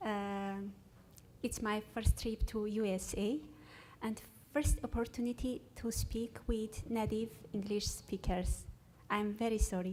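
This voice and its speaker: A woman with an Armenian accent, fairly high-pitched, at a fairly slow pace with long, frequent pauses. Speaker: researcher. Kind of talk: conference presentation. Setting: stage with audience. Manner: halting.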